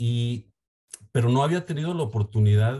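Against a quiet background, a man with a Mexican accent speaks in a dark, mellow tone that is somewhat breathy. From Mexico. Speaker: startup CEO. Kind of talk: interview. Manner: halting, with frequent repetitions.

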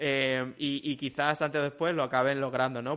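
A man speaks at a moderate pace. His intonation is flat and monotone. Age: 40s. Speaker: video game industry professional. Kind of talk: casual chat.

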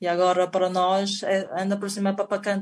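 Over a quiet background, a woman with a Chinese accent speaks at medium pitch with monotone, flat intonation. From China. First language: Chinese (speaking Portuguese). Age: 40s. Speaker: table tennis player. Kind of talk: interview. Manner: halting.

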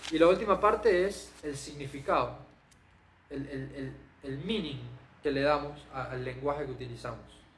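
The speech moves at a moderate pace with long, frequent pauses, big swings in loudness, ordinary pitch variation and audible room echo. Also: man, fairly high pitch for a man. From Panama. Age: 20s. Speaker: magician and content creator. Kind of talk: podcast interview.

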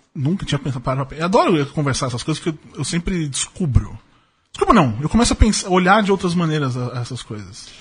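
A man speaks in an animated tone at a fairly quick pace. His fairly high pitch makes very wide swings. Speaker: podcast host. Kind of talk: casual chat.

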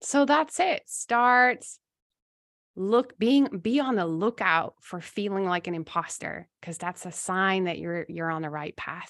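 In a normal speaking voice, a woman with a medium pitch talks at a fairly slow pace with lively intonation, the sound dry and close with no echo against a quiet background. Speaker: giftedness coach and podcast host. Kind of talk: coaching conversation.

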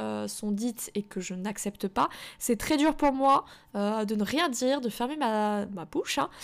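In a very clean recording with a silent background, a woman speaks fairly slowly in a fairly high voice with ordinary pitch variation. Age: 20s. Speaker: podcast host and self-published novelist. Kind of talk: solo podcast monologue. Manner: casual, many hesitations.

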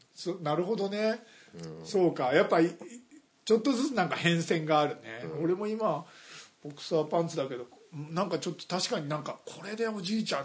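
With lively intonation, the man talks at a moderate pace in a high pitch. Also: big swings in loudness. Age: 50s. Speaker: podcast co-host. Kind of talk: casual chat.

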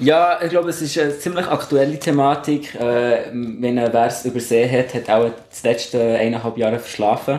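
With hardly any pauses, a man talks at a moderate pace and a medium pitch, with ordinary pitch variation and noticeable background noise. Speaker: scout leader. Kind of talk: casual chat.

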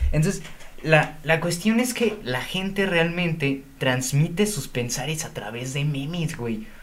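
A man's lively intonation amid audible room echo and noticeable background noise. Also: fairly high pitch for a man, fairly slow pace. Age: young. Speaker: podcast co-host. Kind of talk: casual chat.

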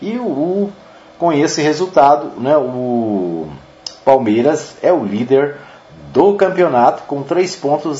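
Over noticeable background noise, a man with a fairly high voice speaks with very wide pitch swings. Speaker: radio sports host. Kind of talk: casual sports news roundup. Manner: halting, many fillers.

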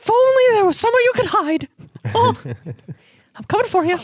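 An extremely high, put-on character voice at a fairly quick pace. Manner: menacing, taunting, playful.

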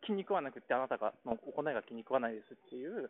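A man with lively intonation at a moderate pace. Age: 30s. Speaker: podcast host, engineering manager. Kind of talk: solo casual monologue podcast. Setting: walking home, outdoors. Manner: halting, many fillers.

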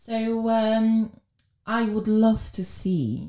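Her tone dark and mellow, a woman speaks with a Polish accent. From Poland. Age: 40s. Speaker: wealth manager. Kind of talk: casual interview.

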